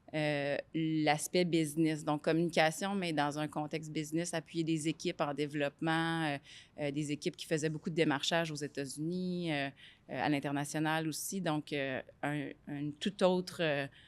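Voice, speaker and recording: On a very clean recording with a silent background, a woman talks at a fairly slow pace in a very deep, low voice with monotone, flat intonation. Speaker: business executive. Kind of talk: interview. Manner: loud; hesitant, many fillers.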